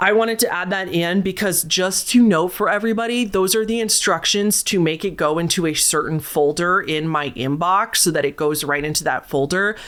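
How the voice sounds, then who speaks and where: A woman of medium pitch speaks at a fairly quick pace with hardly any pauses and ordinary pitch variation, over noticeable background noise. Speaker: storytelling channel host. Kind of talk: reading aloud listener stories with commentary. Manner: casual.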